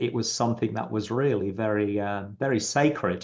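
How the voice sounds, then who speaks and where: A man speaks at a fairly low pitch with vocal fry. His pace is moderate and his pitch variation ordinary. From England. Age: 60s. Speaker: psychic medium. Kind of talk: interview. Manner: halting, many fillers.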